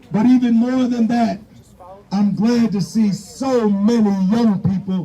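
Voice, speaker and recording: A man speaks at a high pitch and a fairly slow pace, with fairly even intonation and very even loudness. Noticeable background noise is present. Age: 60s. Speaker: rally speaker. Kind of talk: protest speech. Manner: impassioned, repetitive emphasis.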